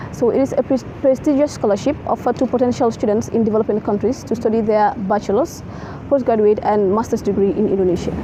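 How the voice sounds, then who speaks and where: A woman at a very fast pace, fairly high pitch, ordinary pitch variation and very even loudness, amid noticeable background noise. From The Gambia. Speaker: international student. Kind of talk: interview.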